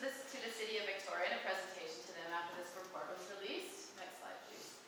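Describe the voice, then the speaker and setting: A woman talks at a very fast pace. Noticeable background noise and audible room echo fill the recording. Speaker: social planning policy researcher. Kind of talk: public forum presentation. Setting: public forum with audience.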